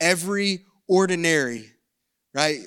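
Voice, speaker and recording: A man with a Southern US accent speaks with ordinary pitch variation. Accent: Southern American. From US South. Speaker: pastor. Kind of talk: sermon. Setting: church service streamed online.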